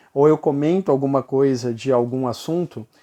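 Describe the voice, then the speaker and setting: Against a quiet background with a dry, close sound and no echo, a man with a fairly high pitch and a dark, mellow tone speaks at a moderate pace with ordinary pitch variation. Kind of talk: casual vlog monologue. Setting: bright lighting for video recording.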